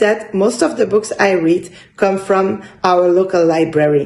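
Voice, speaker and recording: A woman at medium pitch and a fairly slow pace, in a French accent. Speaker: book vlogger. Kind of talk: casual vlog monologue. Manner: halting, searching for words.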